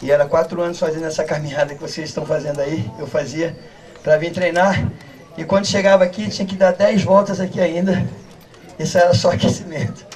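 Speaking at a fairly quick pace, a man has a high pitch with ordinary pitch variation. Light background noise is present. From São Paulo state, Brazil. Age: 50s. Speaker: capoeira master. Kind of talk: interview. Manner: halting. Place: street.

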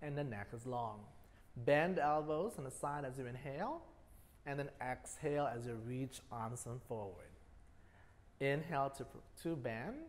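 At a moderate pace, a man speaks with ordinary pitch variation and long, frequent pauses. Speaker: fitness instructor. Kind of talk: exercise class instruction. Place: gym.

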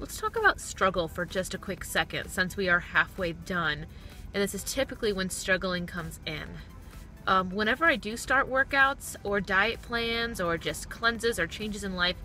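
A woman's voice with ordinary pitch variation, dry and echo-free, over faint background music. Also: moderate pace. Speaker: vlogger. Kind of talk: casual vlog chat. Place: car.

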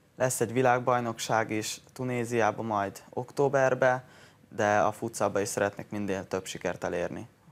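Fairly even intonation marks a man's speech at moderate speed. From Hungary. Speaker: footballer. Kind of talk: interview. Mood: pleased, modest. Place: studio. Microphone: lapel.

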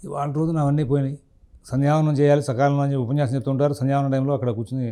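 This man's voice sits at a fairly high pitch and has a dark, mellow tone. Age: 50s. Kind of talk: religious discourse answering a question.

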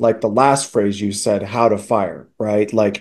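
A man talks at a fairly slow pace with fairly even intonation. His pitch is fairly low and his tone slightly mellow.

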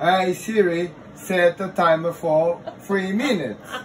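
Over noticeable background noise, a man with a high pitch talks in a Portuguese accent. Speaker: husband setting up phone. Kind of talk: casual home video, frustrated talk. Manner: frustrated, swearing. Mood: frustrated, swearing. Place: home room. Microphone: phone near.

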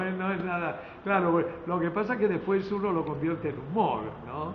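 The man's voice sits high in pitch, with ordinary pitch variation. There is audible room echo and light background noise. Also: moderate pace. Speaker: veteran TV and radio announcer. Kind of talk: interview answer. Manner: lively, joking. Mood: friendly, smiling, anecdotal. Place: hall. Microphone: phone near.

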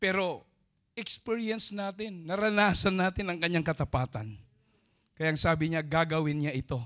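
Here a man speaks at a high pitch with ordinary pitch variation. His pace is moderate, and the background is quiet. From Philippines. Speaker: preacher. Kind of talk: sermon. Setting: church. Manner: call-and-response, prompting audience to say amen. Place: church. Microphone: handheld.

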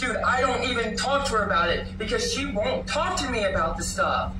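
A woman at a moderate pace, with loud background noise and audible room echo. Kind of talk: heated argument. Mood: agitated, defensive. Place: home room. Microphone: phone near.

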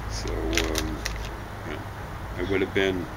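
A man talks over noticeable background noise. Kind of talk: casual conversation. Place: garden. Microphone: camera far.

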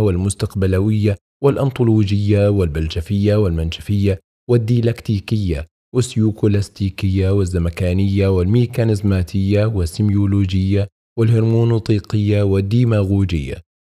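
A man speaks at a moderate pace with hardly any pauses, his fairly low pitch carrying a dark, mellow tone. His loudness stays very even on a very clean recording with a silent background. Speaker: audiobook narrator. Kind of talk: audiobook reading of Islamic text. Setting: studio. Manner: clear, correct classical Arabic pronunciation.

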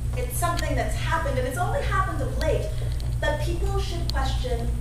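Loud background noise and audible room echo surround the recording. A woman speaks at a moderate pace. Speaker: actor in character. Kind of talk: theatrical monologue. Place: stage. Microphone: camera far.

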